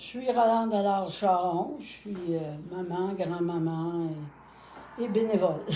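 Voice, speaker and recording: Spoken at a very slow pace with ordinary pitch variation, the voice carries audible room echo. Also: woman, medium pitch for a woman. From Quebec, Contrecœur. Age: 80s+. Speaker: grandmother, volunteer. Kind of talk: casual interview.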